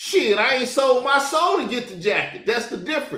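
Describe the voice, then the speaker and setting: Audible room echo colors the voice of a man talking at a moderate pace. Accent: Southern US. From US South. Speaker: YouTube commentator. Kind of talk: reaction commentary. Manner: animated.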